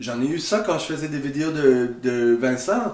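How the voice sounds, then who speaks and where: Speaking at a very slow pace, a man has a strong English accent. Noticeable background noise and audible room echo surround him. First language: English (speaking French). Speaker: YouTuber. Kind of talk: video reaction commentary. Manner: halting, many hesitations.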